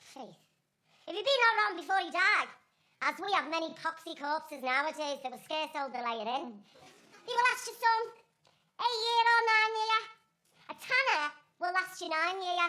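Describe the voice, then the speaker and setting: A squeaky, put-on character voice jumps through very wide pitch swings and big swings in loudness. It moves at a moderate pace with long, frequent pauses. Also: woman, extremely high pitch for a woman. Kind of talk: amateur Shakespeare stage acting. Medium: stage play. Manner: cheeky, punning.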